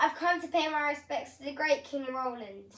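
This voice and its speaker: Putting on a cackling character voice, a woman speaks at a moderate pace with a high pitch. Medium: read story. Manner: sly, cackling.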